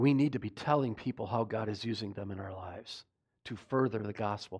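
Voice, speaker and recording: A man with an ordinary speaking voice speaks at a fairly quick pace and medium pitch, with big swings in loudness. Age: 50s. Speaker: pastor. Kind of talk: sermon. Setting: church.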